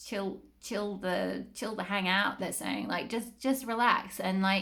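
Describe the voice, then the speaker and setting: Over noticeable background noise, a woman speaks in an animated tone at a medium pitch. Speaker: tarot reader. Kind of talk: tarot reading monologue. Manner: fast; chatty, animated.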